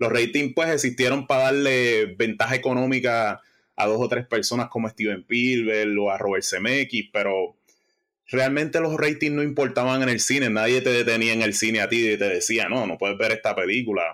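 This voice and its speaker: On a very clean recording with a silent background, a man speaks at medium pitch with ordinary pitch variation, very even loudness, and a bright, sharp tone. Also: moderate pace. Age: 40s. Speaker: music podcast contributor. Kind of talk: casual chat.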